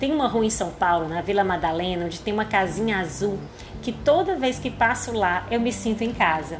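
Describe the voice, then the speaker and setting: A woman with a Cearense accent speaks at a moderate pace with lively intonation. Music plays in the background, and the room echo is audible. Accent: Cearense (Northeast Brazilian). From Ceará, Brazil. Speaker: podcast host, chronicle writer. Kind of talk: reading aloud her own chronicle.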